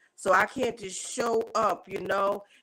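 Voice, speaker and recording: With ordinary pitch variation, a woman's voice sits fairly high in pitch. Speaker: live streamer organizing community meetup. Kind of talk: casual live stream talk. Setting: live stream. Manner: loud; hesitant, with fillers.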